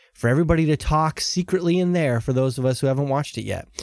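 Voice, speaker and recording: A man's voice with lively intonation. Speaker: podcast host. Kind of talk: casual chat. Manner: animated.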